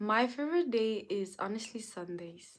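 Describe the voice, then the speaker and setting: On a very clean recording with a silent background, a woman with a French accent speaks in an animated tone at a fairly slow pace, with a fairly high pitch and ordinary pitch variation. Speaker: livestreamer. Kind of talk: casual chat. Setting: livestream.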